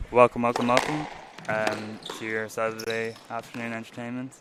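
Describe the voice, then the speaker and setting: A man with an Irish accent speaks at medium pitch and a moderate pace in a monotone, flat way, with long, frequent pauses, big swings in loudness and noticeable background noise. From Ireland. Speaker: squash commentator. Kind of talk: live commentary.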